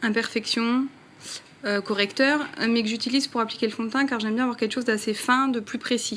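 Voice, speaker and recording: A woman talks at a fairly quick pace in a fairly high voice with monotone, flat intonation. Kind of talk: casual talk to camera, makeup tutorial. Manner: chatty, friendly.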